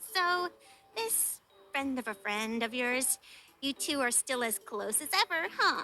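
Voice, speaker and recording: This woman puts on a character voice, high in pitch and delivered at a fairly slow pace. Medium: read story. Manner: teasing, playful.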